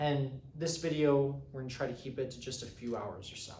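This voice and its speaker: Over noticeable background noise and audible room echo, a man speaks at a medium pitch and a fairly quick pace. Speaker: economics teaching assistant. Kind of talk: lecture. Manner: fast; halting, many fillers.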